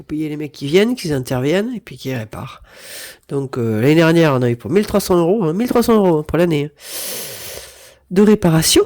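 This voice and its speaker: A woman's voice with very wide pitch swings, a fairly quick pace and long, frequent pauses. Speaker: budgeting vlogger. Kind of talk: casual budget vlog monologue. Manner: hesitant, with repeated fillers.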